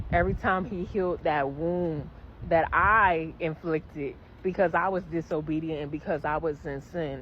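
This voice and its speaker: A plain, everyday voice speaks at a moderate pace. The intonation stays fairly even. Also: woman, fairly low pitch for a woman. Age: 20s. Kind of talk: casual faith testimony to camera.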